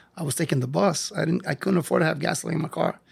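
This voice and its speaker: A man with a fairly high pitch speaks in an animated tone with an American accent and some vocal fry. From New York (Lower East Side). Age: 60s. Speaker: physical education teacher. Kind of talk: interview. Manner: animated storytelling.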